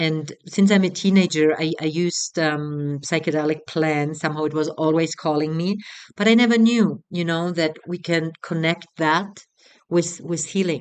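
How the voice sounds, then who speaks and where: With a German accent, a woman talks at a moderate pace in a fairly low pitch and fairly even intonation. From Germany. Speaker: retreat facilitator. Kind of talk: promotional talk. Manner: halting.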